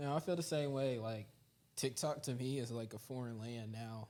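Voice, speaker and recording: A man with an unremarkable speaking voice talks at a moderate pace, his pitch moving in an ordinary way. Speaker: podcast co-host. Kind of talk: casual chat.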